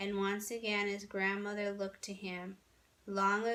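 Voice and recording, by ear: Someone reads aloud here. The delivery is in a natural voice.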